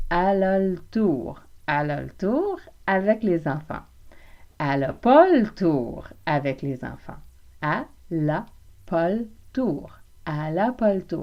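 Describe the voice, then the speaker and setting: Speaking in a Quebec accent, a woman with a fairly low pitch takes a very slow pace with long, frequent pauses. Her tone is playful and her intonation lively. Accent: Québécois French. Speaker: French language teacher, podcaster. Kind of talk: language lesson podcast. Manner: informal, playful.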